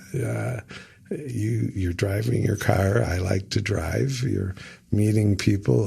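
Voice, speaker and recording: A man with a very deep, low pitch and vocal fry talks at a very slow pace, his pitch swinging very widely. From US Midwest, Rockford, Illinois. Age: 70s. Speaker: Meals on Wheels volunteer. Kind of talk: interview. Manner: hesitant, many fillers.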